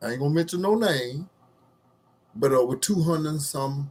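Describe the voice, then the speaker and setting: Somewhat breathy, a man speaks at a moderate pace with very wide pitch swings. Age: 60s. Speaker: social commentary vlogger. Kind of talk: casual monologue to camera. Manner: halting, with many fillers.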